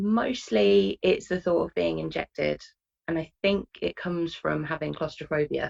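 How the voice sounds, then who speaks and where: A woman with a British accent at a moderate pace, dry and close with no echo. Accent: British accent, obvious. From UK. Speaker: interview guest with a phobia. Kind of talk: interview.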